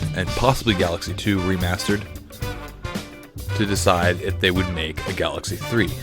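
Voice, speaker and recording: A man at a fairly quick pace with ordinary pitch variation, music in the background. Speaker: gaming video host. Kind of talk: casual commentary to camera.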